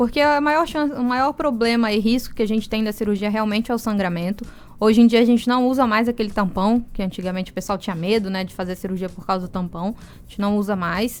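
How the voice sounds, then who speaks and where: With music in the background, a woman talks at a very fast pace in a fairly high pitch, with ordinary pitch variation, big swings in loudness and hardly any pauses. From Brazil, moved around as military child. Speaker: ear, nose and throat doctor. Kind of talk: radio interview. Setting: radio studio. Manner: explanatory, calm.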